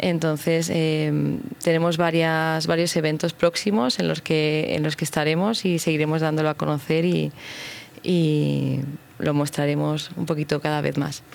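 A woman with a very deep, low pitch talks at a fairly slow pace, her intonation fairly even and her loudness very even. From Madrid, Spain. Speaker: business owner. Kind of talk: radio interview. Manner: halting.

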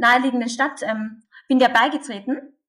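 Fairly quick, high-pitched speech from a woman. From Austria, Carinthia. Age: 20s. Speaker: pro-life activist. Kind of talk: interview.

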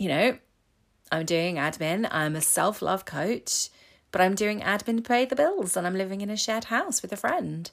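With an English accent, this speaker keeps a moderate pace and lively intonation. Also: woman, medium pitch for a woman. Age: 40s. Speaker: self-love coach. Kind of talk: solo podcast monologue. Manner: casual, hesitant with fillers.

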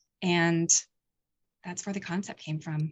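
Somewhat breathy, with an American accent. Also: woman. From rural eastern Pennsylvania. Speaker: paranormal investigator and documentary maker. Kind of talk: casual interview.

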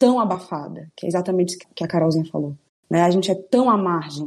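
Speaking with ordinary pitch variation, a woman sounds somewhat breathy. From Ceará, Brazil. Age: 20s. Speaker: cook. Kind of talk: casual chat.

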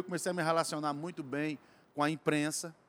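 A man speaks at a fairly quick pace, recorded with a dry, close sound and no echo. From Cariri region, Ceará, Brazil. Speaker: musician. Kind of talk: casual interview. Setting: bar.

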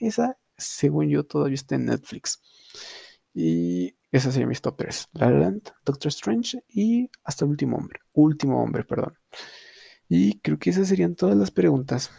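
A man's fairly slow speech in a dry, close recording with no echo. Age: young. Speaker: podcast host. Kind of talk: casual chat. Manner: halting.

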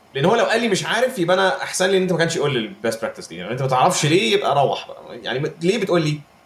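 Over noticeable background noise, a man with a high pitch talks very fast with very wide pitch swings and hardly any pauses. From Egypt. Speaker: game developer. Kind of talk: casual chat.

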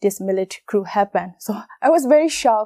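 A woman with a Burmese accent, medium-pitched and dark, mellow in tone, on a very clean recording with a silent background and a dry, close sound with no echo. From Myanmar. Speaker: model and actress. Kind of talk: interview testimony. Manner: halting.

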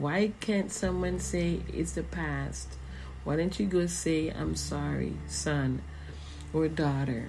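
In an American accent, a woman speaks at a very slow pace, with audible echo from the room. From US Virgin Islands (St. Croix). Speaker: minister, podcast host. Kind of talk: spiritual monologue.

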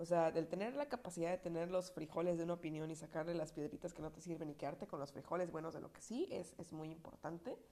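A woman speaks very fast with a slight Puebla accent. Her pitch is fairly low and her tone dark and mellow. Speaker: podcaster. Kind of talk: casual monologue. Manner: conversational, filler-heavy.

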